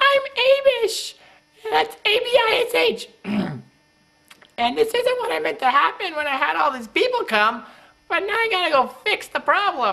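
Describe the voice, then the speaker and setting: A woman's put-on character voice at an extremely high pitch and a moderate pace. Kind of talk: comic acted monologue. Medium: short film. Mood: flustered and jokey.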